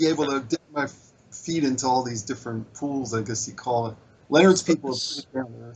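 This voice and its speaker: A man with an American accent speaks at a fairly quick pace in a normal speaking voice, his medium pitch showing ordinary variation while his loudness swings widely. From US, Baltimore. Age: 60s. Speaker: social media marketer, spiritual seeker. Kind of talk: interview conversation.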